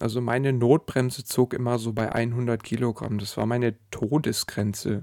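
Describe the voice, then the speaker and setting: His pace stays moderate and his pitch is medium. The man uses a normal speaking voice. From Sauerland, Germany. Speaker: podcast host and weight-loss coach. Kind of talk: solo podcast monologue.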